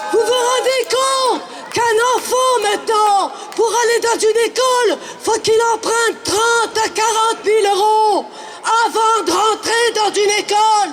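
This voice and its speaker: This man's voice sits extremely high in pitch, with fairly even intonation and a fairly slow pace. Noticeable background noise runs under the recording. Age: 70s. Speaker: protester. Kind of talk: street protest speech.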